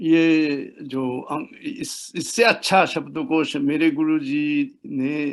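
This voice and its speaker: Hardly pausing, a man speaks at a fairly high pitch with ordinary pitch variation. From Japan, Osaka. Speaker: professor of Hindi. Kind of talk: interview. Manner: halting.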